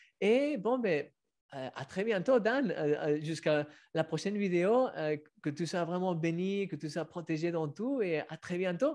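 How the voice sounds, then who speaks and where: A man with a slight Spanish accent speaks at a high pitch with lively intonation. The background is quiet. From Spain. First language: Spanish (speaking French). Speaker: author and online show host; online show host. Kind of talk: casual interview. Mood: warm, moved. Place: home room. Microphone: webcam.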